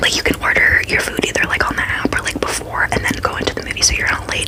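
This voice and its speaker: A woman whispers at a fairly quick pace. Noticeable background noise can be heard. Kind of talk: ASMR storytime ramble. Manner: fast, aggressive whispering.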